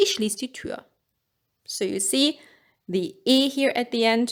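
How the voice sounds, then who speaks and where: Very wide pitch swings with a German accent. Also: woman. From Germany. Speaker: language teacher. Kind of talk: tutorial.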